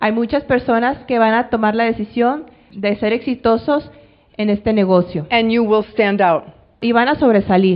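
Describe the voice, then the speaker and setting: A woman's normal speaking voice, fairly high in pitch, at a moderate pace, with ordinary pitch variation and very even loudness. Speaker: interpreter. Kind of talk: live interpretation. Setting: stage with audience.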